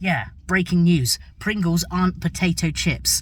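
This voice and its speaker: A voice with an English accent comes through in a very clean recording with a silent background. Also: man. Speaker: travel and food vlogger. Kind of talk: vlog narration.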